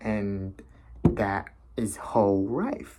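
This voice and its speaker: This man has a fairly low-pitched, dark and mellow voice with a non-native accent. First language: not English. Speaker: vlogger. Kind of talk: casual monologue. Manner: halting, many fillers.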